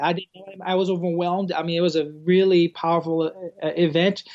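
This man speaks with a Portuguese accent and a high-pitched voice. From Brazil. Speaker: campus pastor. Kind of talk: casual interview conversation.

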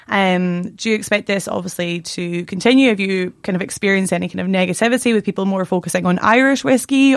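The recording is very clean, with a silent background. A woman with a Scottish accent speaks at a fairly quick pace. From Scotland, near Stirling. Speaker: podcast host. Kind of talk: casual chat; interview.

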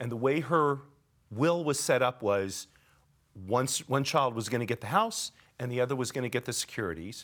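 On a very clean recording with a silent background, a man talks at a moderate pace and medium pitch with ordinary pitch variation and long, frequent pauses. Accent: Californian. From Los Angeles. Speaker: podcast host. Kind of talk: interview.

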